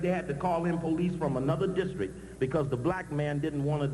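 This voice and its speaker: Audible room echo and noticeable background noise fill the recording. Over them, a man talks at a fairly quick pace. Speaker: activist speaker. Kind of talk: conference speech. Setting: stage with audience. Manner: fast.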